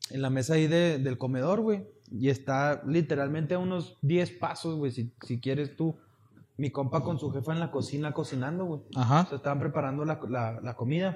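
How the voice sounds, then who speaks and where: A somewhat breathy man's voice with a fairly high pitch. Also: ordinary pitch variation, moderate pace. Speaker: podcast co-host. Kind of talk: casual chat.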